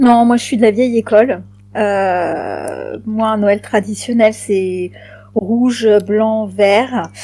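A woman's fairly high voice, very slow and fairly even in intonation, over a silent background on a very clean recording. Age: 40s. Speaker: podcast guest. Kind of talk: casual chat.

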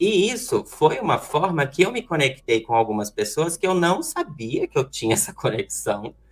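A high-pitched man speaks with very wide pitch swings. He leaves hardly any pauses. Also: moderate pace. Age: 20s. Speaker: real estate broker and student. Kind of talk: presentation segment.

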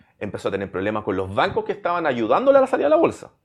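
Vocal fry and very wide pitch swings from a man with a Chilean accent, in a very clean recording with a silent background. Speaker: podcast host. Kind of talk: casual interview chat.

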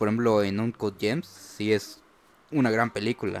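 A man with a Mexican accent talks with music in the background. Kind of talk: casual chat.

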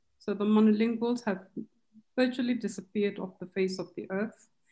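Somewhat breathy and dark, mellow in tone, a woman speaks at a medium pitch. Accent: Kenyan. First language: Kikuyu. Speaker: translation studies professor. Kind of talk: panel discussion.

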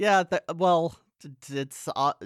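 A man speaks with a dry, close sound and no echo. The recording is very clean, with a silent background. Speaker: horror movie podcast co-host. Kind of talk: casual chat.

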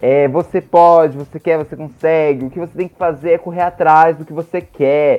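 This man has a normal speaking voice, fairly high in pitch, with fairly even intonation. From interior of Mato Grosso, Brazil. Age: 20s. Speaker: podcaster and theater teacher. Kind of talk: casual chat.

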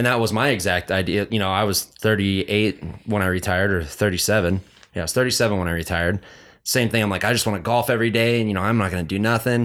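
A man with a fairly low pitch speaks at a very fast pace. His intonation stays fairly even on a very clean recording with a silent background. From Carson City, Nevada. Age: 30s. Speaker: retired motocross rider. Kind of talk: casual chat.

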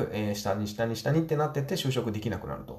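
Very fast speech from a man amid audible room echo. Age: 40s. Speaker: business owner and podcaster. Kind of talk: solo podcast monologue.

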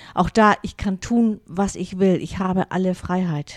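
In a northern German accent, a woman with a medium pitch talks at a fairly slow pace, the sound dry and close with no echo. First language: Low German (speaking German). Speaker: pastor and podcast host. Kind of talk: casual monologue. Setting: home studio.

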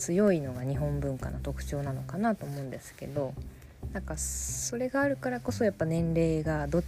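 A woman's voice at a fairly quick pace over noticeable background noise. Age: 20s. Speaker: podcast host, horse journalist. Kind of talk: solo podcast monologue. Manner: casual, hesitant with many fillers.

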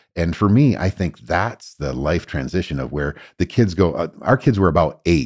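A man's very deep, low voice with vocal fry and lively intonation, at a moderate pace with hardly any pauses, on a very clean recording with a silent background. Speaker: professor and therapist. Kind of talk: casual interview conversation. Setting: studio, same room as host. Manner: humorous, joking.

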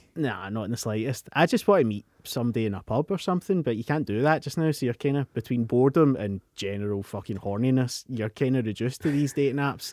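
A very fast, lively man's voice at medium pitch with hardly any pauses, recorded very cleanly against a silent background. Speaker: podcast co-host. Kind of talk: casual chat.

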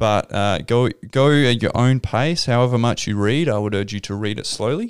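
Here a man talks at a moderate pace and medium pitch with an Australian accent. His pitch varies an ordinary amount, and the recording is very clean with a silent background. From South Australia. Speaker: pastor. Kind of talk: podcast interview.

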